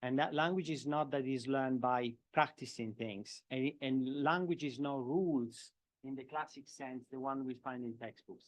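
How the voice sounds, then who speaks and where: A man with a strong Italian accent talks at a moderate pace in a medium pitch against a quiet background. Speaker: professor of education. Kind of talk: lecture Q&A answer. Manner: halting, with repetitions.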